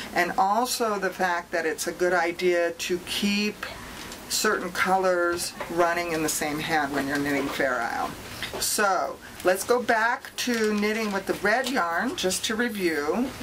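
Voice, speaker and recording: A woman speaks at a fairly slow pace with medium pitch and lively intonation. There is noticeable background noise. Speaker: knitting instructor. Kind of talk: tutorial.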